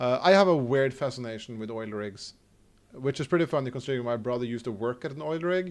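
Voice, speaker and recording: Against a quiet background, a man talks at a very fast pace. He has a Norwegian accent. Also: medium pitch for a man, ordinary pitch variation. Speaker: video game streamer. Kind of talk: live gameplay stream chat. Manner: halting, frequent stammers and restarts.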